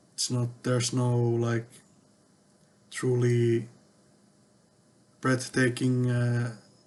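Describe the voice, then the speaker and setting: Speaking at a very slow pace with long, frequent pauses, the man keeps a medium pitch and a monotone, flat intonation. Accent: non-native. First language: not English. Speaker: tech vlogger. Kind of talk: casual monologue. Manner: hesitant, many fillers.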